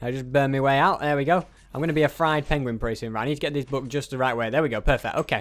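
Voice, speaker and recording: The speaker has a British accent and talks at a very fast pace. Pitch variation is ordinary. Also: man. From England. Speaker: gaming YouTuber. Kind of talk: let's play commentary. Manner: halting, many fillers.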